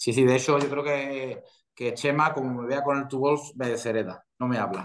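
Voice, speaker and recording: This man speaks with a Castilian accent at medium pitch and a moderate pace. His intonation stays fairly even. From Spain. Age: 40s. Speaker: professional golfer. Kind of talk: interview.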